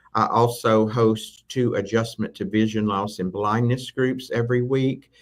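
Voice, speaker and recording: A man talks with a Southern US accent. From Tennessee, US South. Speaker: assistive technology instructor. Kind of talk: live interview.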